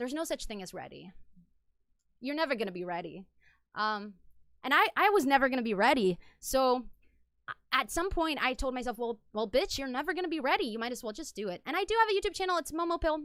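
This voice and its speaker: A woman talks at a very fast pace with long, frequent pauses. Her high voice makes very wide pitch swings. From Egypt and Qatar. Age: 20s. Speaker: streamer. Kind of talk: casual chat. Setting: live stream.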